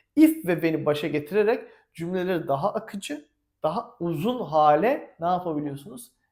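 This man speaks in a high voice at a moderate pace. His tone is animated and his intonation lively. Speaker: English teacher. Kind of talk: tutorial.

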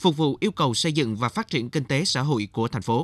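A man talks very fast, with a quiet background behind his voice. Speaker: TV news reporter. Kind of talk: scripted narration. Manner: formal.

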